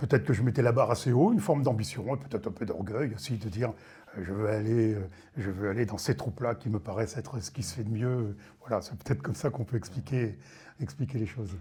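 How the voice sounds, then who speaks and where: A very fast, medium-pitched male voice with lively intonation. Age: 60s. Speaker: retired army general. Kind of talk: testimony. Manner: hesitant, many fillers.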